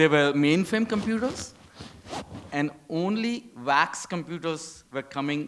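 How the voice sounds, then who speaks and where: A man's plain, everyday voice, lively in intonation. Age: 60s. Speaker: audience member, retired engineer. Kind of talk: audience question.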